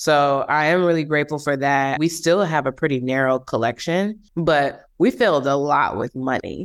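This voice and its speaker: A woman's very deep, low voice in an American accent, at a moderate pace with hardly any pauses and ordinary pitch variation, on a very clean recording with a silent background. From Milwaukee, Wisconsin. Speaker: handbag designer and entrepreneur. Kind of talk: interview.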